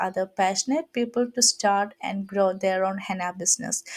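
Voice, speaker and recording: Speaking at a moderate pace and a medium pitch, a woman with a Keralan accent sounds dry and close with no echo in a very clean recording against a silent background. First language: Malayalam. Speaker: henna artist. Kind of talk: tutorial. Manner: halting.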